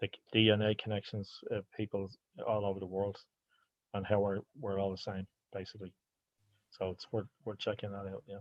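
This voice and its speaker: Speaking in an Irish accent, a man with a fairly low pitch talks at a fairly quick pace in a flat monotone, leaving long, frequent pauses, and the sound is dry and close with no echo. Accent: Irish (Hiberno-English). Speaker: anti-racism sports organizer. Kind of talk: online seminar Q&A. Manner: halting, with repetitions.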